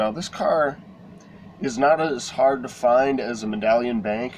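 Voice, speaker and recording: Noticeable noise sits behind a man talking at a medium pitch. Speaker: collectibles vlogger. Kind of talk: casual vlog show-and-tell. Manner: hesitant, many fillers.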